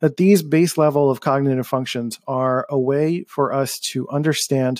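A man's animated tone on a very clean recording, silent background. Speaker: podcast host. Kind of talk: solo podcast monologue. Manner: monotone; a little animated.

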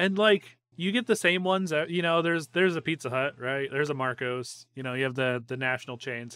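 Here is a man with an ordinary speaking voice and a fairly high pitch. He talks at a fairly quick pace with lively intonation and hardly any pauses. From Northwest Ohio. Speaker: podcast host. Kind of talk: casual chat.

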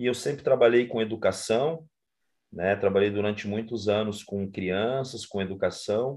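This is an ordinary speaking voice with ordinary pitch variation at a moderate pace. The background is quiet. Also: man, fairly low pitch for a man. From Brazil, interior of Paraná. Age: 40s. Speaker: social project coordinator. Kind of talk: interview. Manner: casual, conversational.

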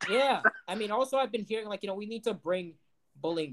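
A man with an American accent. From Ohio. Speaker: podcast co-host. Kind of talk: casual chat. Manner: halting.

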